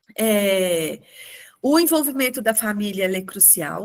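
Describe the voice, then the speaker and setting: With a normal speaking voice and medium pitch, a woman talks at a moderate pace with ordinary pitch variation. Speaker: webinar presenter on special education. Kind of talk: webinar presentation.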